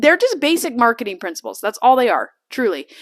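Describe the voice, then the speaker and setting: A woman speaks at a high pitch and a fairly quick pace. Her tone is animated, with lively intonation. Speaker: podcast host and business coach. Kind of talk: sales pitch. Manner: fast.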